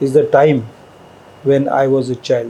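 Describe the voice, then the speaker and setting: A man speaks with a Marathi accent over noticeable background noise. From India, Maharashtra. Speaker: scholar and linguist. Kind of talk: interview.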